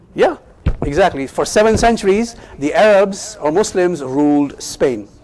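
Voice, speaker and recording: Amid noticeable background noise, a man with a Pakistani accent and a high pitch talks at a moderate pace with lively intonation. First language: Urdu. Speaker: Islamic teacher. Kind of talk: lecture. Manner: interactive, asks audience questions.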